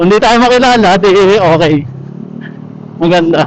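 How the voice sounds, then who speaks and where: Noticeable background noise accompanies a man with a high pitch. He keeps a moderate pace and ordinary pitch variation. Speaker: vlogger. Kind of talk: casual vlog narration. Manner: slurred, indistinct.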